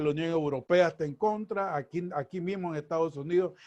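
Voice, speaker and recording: The background is quiet as a man talks at a moderate pace. His pitch varies in an ordinary way. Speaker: interview show host. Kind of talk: casual interview.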